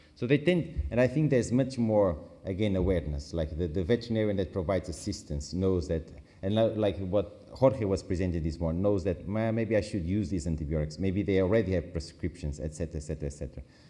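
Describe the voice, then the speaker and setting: A man with a very deep, low pitch and a dark, mellow tone talks very fast with lively intonation. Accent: Portuguese. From Portugal. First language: Portuguese. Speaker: international agency expert. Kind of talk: conference Q&A. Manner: halting, self-correcting.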